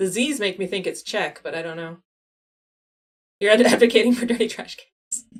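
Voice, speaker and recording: Pausing long and often, a woman speaks at a fairly high pitch with ordinary pitch variation and big swings in loudness. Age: 40s. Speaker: geography game streamer. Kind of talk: casual live stream chat. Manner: fast.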